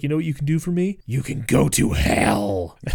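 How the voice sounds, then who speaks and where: A man uses a growling, put-on character voice. His pitch is medium and his pace moderate. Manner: menacing.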